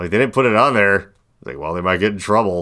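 A man with an American accent at a fairly quick pace, his very deep, low pitch carrying vocal fry, a bright, sharp tone and lively intonation, on a very clean recording with a silent background. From US Midwest. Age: 40s. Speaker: podcast host. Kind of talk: casual chat.

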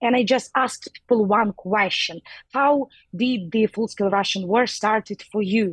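In a Ukrainian accent, a woman with a somewhat breathy, fairly high voice talks at a moderate pace with ordinary pitch variation and very even loudness, the sound dry and close with no echo. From Ukraine. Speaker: DJ and activist. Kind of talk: interview. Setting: phone or video call from New York. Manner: halting, searching for words.

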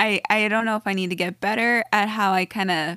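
On a very clean recording with a silent background, a woman with a normal speaking voice talks at a fairly high pitch and a moderate pace. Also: dry, close sound with no echo. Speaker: podcast co-host. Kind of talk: casual conversation.

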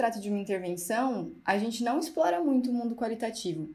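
Somewhat breathy and dark, mellow in tone, a woman talks at a fairly quick pace with lively intonation. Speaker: physiotherapist and master's researcher. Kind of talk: casual panel discussion.

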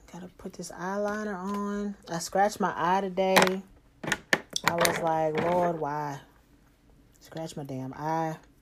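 Speaking very slowly with long, frequent pauses, a woman with a fairly low voice keeps her intonation fairly even while her loudness swings widely, amid noticeable background noise. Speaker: solo podcaster and singer. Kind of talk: casual solo monologue. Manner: low-energy, relaxed; halting with many fillers.

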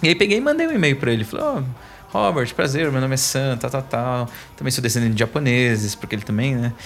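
The speech goes at a very fast pace. Noticeable background noise can be heard. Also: man, medium pitch for a man, ordinary pitch variation. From São Paulo east zone, Brazil. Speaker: author and course instructor. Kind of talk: podcast interview. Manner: animated.

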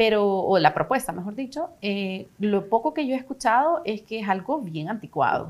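Speaking at a moderate pace in a Salvadoran accent, a woman uses a fairly high pitch that swings very widely. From El Salvador. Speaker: actress and casting director. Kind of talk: casual interview chat.

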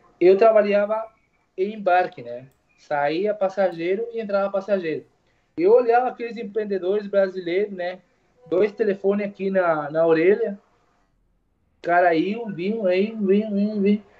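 A man with a Spanish accent and a high pitch, ordinary pitch variation and a moderate pace, with music in the background. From Uruguay. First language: Spanish (speaking Portuguese). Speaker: barber. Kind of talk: casual interview chat.

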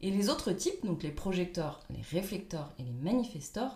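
A woman speaks at medium pitch, somewhat breathy. Her pitch swings very widely. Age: 30s. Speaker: life coach. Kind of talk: interview.

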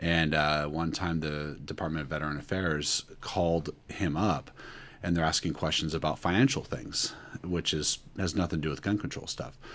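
A man with a West Coast US accent speaks at a very deep, low pitch. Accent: American (West Coast). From Northern California. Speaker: graduate student and Marine Corps veteran. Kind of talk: panel discussion.

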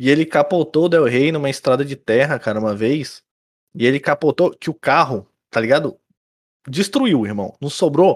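The sound is dry and close with no echo, the pitch varies in an ordinary way, and the pace is moderate. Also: man, fairly high pitch for a man. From Rio Grande do Sul, Brazil. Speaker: podcast co-host. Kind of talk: casual chat. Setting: video call. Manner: animated.

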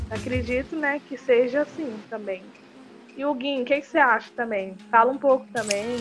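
Noticeable background noise sits behind a woman speaking with a high pitch. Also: ordinary pitch variation, moderate pace. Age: young. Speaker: youth activist, project founder. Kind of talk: casual interview.

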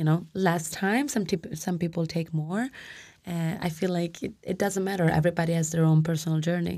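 A woman with an Italian accent speaks fairly quickly in a fairly low pitch, with a dark, mellow tone. Her pitch varies in an ordinary way on a very clean recording with a silent background. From Italy. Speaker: lawyer and PhD candidate. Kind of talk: live panel discussion. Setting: live release party.

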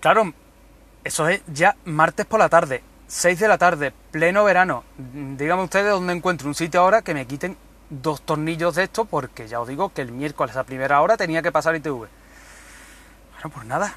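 Recorded with a dry, close sound and no echo, a man with a fairly high pitch and a bright, sharp tone talks at a moderate pace with ordinary pitch variation. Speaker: podcaster. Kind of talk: casual monologue. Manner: animated.

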